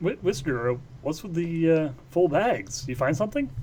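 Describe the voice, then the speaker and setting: Amid clear background noise, a man puts on a character voice with a fairly high pitch at a moderate pace. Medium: actual play. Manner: halting, stammering.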